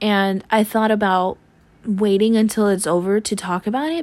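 A woman with a normal speaking voice talks at a moderate pace in a fairly high pitch, on a very clean recording with a silent background. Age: 20s. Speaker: podcaster. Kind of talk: personal monologue.

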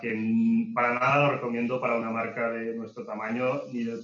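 This man talks at a medium pitch. Monotone and flat, his intonation barely moves. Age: 30s. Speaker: e-commerce entrepreneur. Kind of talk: interview. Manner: halting.

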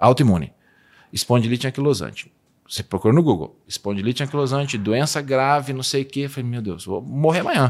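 Ordinary pitch variation in an unremarkable speaking voice, on a very clean recording with a silent background. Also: man, medium pitch for a man. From Brazil, Minas Gerais. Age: 40s. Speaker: nutritionist. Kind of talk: interview conversation.

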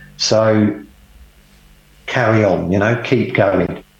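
A man's fairly low voice at a very slow pace, with noticeable background noise. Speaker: cancer survivor and Ironman athlete, former police officer. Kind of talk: casual interview, personal storytelling. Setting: video call from home by the sea. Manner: conversational, hesitant with fillers.

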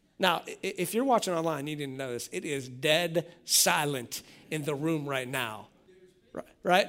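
Here is an ordinary speaking voice: a man at a fairly high pitch with ordinary pitch variation. He keeps a moderate pace on a very clean recording with a silent background. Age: 40s. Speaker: pastor. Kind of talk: sermon.

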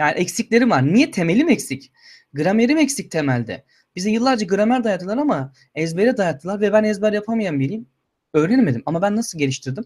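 A man speaks at a fairly quick pace with a high pitch and very wide pitch swings. The recording is very clean, with a silent background. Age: 20s. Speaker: YouTuber and master's student. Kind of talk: livestream Q&A chat.

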